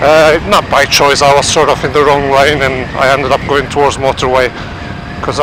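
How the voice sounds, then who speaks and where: A man with a Turkish accent talks at a moderate pace in a fairly high pitch. His intonation is monotone and flat, and there is noticeable background noise. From Turkey. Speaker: motorcycle vlogger. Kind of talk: casual vlog monologue. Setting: riding a motorcycle in traffic.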